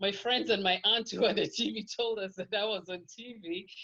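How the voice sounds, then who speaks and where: At a moderate pace, a voice with a Kenyan accent speaks in a bright, sharp tone with ordinary pitch variation. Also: woman. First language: Kikuyu. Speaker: podcast guest. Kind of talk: interview.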